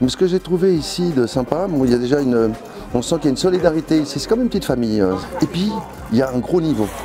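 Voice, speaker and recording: Music plays behind a man who talks very fast, his fairly high voice moving with lively intonation. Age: 60s. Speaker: amateur poker player. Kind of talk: interview testimony. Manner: hesitant with fillers.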